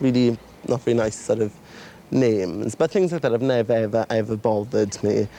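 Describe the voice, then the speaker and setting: A man is speaking. He has a Welsh accent. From Wales. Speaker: documentary participant. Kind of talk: casual chat.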